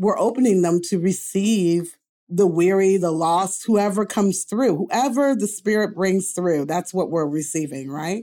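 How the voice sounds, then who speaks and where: A woman speaks in an ordinary speaking voice at medium pitch, with ordinary pitch variation and a fairly slow pace. She hardly pauses, and the recording is very clean with a silent background. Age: 50s. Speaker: author and lay theologian. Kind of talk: casual interview.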